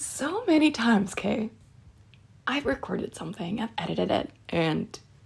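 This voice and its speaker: Noticeable background noise is present. A woman talks fairly slowly. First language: not English. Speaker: audio creator. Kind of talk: casual monologue. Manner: hesitant, many fillers.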